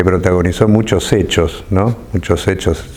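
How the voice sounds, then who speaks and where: A very deep, low-pitched man's voice at a moderate pace, fairly even in intonation, over noticeable background noise. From Argentina, Córdoba. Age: 50s. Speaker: left-wing politician. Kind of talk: interview. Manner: halting, with many repetitions.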